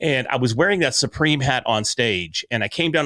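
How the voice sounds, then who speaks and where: With an American accent, a man speaks with ordinary pitch variation. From US Ozarks. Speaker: podcaster and speaker. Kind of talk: interview conversation. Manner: loud.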